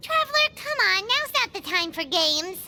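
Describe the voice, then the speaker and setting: The speaker does a squeaky put-on character voice at an extremely high pitch, with very wide pitch swings at a moderate pace. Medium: video game. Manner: curious, eager.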